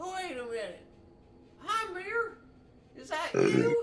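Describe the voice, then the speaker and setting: A put-on character voice, squeaky and extremely high in pitch, with a warm tone and a fairly slow pace. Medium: actual play. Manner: warm, folksy.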